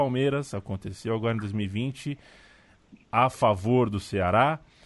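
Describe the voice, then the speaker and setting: An unremarkable speaking voice from a man, medium in pitch with ordinary pitch variation, at a fairly slow pace. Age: 30s. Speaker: sports podcast host. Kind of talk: casual chat.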